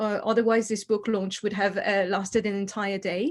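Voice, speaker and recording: Over a quiet background, a woman with a French accent talks at a fairly quick pace with fairly even intonation. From France. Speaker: historian. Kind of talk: book launch talk.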